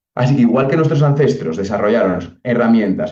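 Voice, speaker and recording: A man's medium-pitched voice in a Castilian accent, dark and mellow in tone, with lively intonation and a fairly quick pace. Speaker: psychologist speaker. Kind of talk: lecture. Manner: fast.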